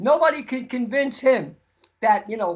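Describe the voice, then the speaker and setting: The voice has an American accent and an animated tone. It moves at a fairly quick pace with ordinary pitch variation. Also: man. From US Northeast. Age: 80s+. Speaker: raw vegan nutrition expert. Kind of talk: podcast interview.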